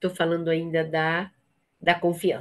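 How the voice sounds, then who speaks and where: A woman speaks at a very slow pace in a fairly low pitch. The background is quiet. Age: 60s. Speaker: trainer for a women's support network. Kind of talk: training session.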